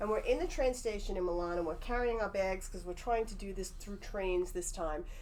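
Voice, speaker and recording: A woman's fairly high, animated voice at a fairly quick pace, with lively intonation, hardly any pauses, audible room echo and noticeable background noise. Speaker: psychic medium. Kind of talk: casual chat.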